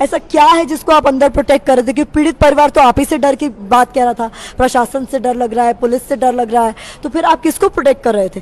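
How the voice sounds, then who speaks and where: A woman's high-pitched, animated voice at a very fast pace, with ordinary pitch variation. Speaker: TV news reporter. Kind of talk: casual conversation. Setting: social media live video.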